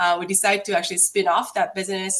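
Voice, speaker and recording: Pitched medium, a woman talks over noticeable background noise. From South Korea. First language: Korean. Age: 50s. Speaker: finance executive. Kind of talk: interview. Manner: hesitant, frequent fillers.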